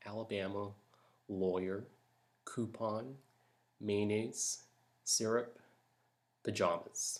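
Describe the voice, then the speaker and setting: This man's fairly low voice unfolds at a very slow pace. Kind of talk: accent tag word list and casual talk to camera. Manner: soft-spoken.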